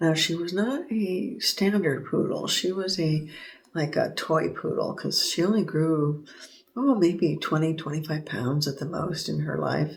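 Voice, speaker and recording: Soft-spoken and fairly low-pitched, a woman talks at a fairly slow pace with ordinary pitch variation in a General American accent. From Southern California. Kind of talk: sleep story. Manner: hesitant, casual.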